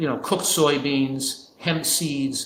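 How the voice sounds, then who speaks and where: This man has an American accent and a medium pitch, talking at a moderate pace. The recording carries audible room echo and noticeable background noise. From New Jersey. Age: 70s. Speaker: physician and nutrition expert. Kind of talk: interview. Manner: halting, with frequent self-corrections.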